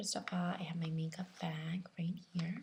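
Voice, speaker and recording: Fairly slow, somewhat breathy speech from a woman. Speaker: ASMR video creator. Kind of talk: ASMR makeup show and tell. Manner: whispered, soft-spoken.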